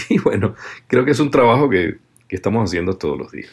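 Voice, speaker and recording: A man with lively intonation. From Venezuela. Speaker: voice actor. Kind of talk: interview.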